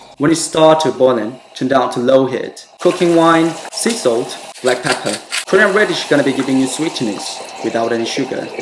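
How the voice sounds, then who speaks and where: Against noticeable background noise, a man speaks at a moderate pace. His pitch is fairly high and his intonation lively. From England. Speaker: former Michelin star chef. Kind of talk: cooking video voiceover. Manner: casual, upbeat.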